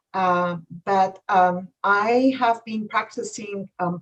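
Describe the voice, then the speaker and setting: With a Polish accent, a woman speaks in a somewhat breathy voice with ordinary pitch variation. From Poland. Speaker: acupuncturist and psychotherapist. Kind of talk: interview. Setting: live stream.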